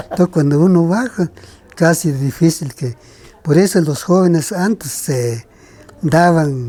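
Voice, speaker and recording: Talking at a fairly slow pace, a man with a high pitch uses ordinary pitch variation. He has a Guatemalan accent and leaves long, frequent pauses. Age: 70s. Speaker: kite maker. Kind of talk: interview.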